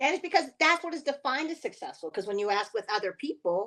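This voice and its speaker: Talking at a very fast pace, a woman uses a high pitch with very wide pitch swings. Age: 60s. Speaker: podcast co-host. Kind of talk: casual chat.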